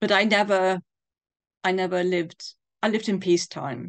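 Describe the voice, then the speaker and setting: Speaking with a southern English accent, a woman talks at a fairly quick pace in a fairly low pitch with vocal fry, in a dry, close sound with no echo against a quiet background. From England, London. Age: 60s. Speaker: bereaved daughter sharing her story. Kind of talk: interview testimony.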